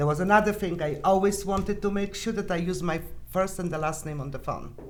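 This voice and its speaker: Against noticeable background noise and audible room echo, a woman with a non-native accent talks at a fairly quick pace. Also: medium pitch for a woman, ordinary pitch variation. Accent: foreign. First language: not English. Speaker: sales producer. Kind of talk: podcast interview.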